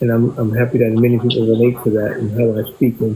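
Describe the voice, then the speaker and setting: With noticeable background noise, a man talks at a fairly quick pace in a medium pitch and a flat, monotone delivery. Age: 70s. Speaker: drummer. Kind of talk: casual chat. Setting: livestream video call.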